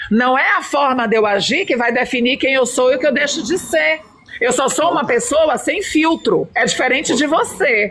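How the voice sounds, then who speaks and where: At a moderate pace and very even loudness, a woman with a high pitch speaks in an animated tone with lively intonation, against noticeable background noise. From Brazil, São Luís do Maranhão. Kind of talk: heated debate.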